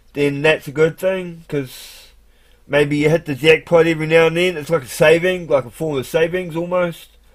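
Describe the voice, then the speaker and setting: A man with a New Zealand accent speaks at a moderate pace with fairly even intonation. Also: fairly high pitch for a man. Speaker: live streamer. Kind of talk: casual monologue. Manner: halting.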